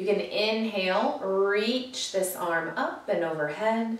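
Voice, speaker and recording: A woman speaks with ordinary pitch variation. Audible room echo is present in the recording. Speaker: yoga teacher. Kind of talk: guided chair yoga class with a calming meditation. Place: home room. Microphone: camera far.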